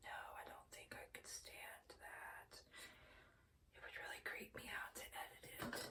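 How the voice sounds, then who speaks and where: A woman is whispering at a fairly slow pace. Audible room echo surrounds her voice. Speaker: beauty vlogger. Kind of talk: casual chat. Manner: meandering.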